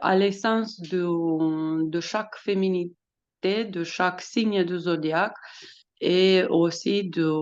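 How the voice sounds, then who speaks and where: This woman speaks in a Romanian accent at a very slow pace. Her pitch is medium. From Romania, Bucharest. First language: Romanian (speaking French). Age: 40s. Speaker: astrologer and author. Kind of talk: podcast interview. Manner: hesitant, many fillers.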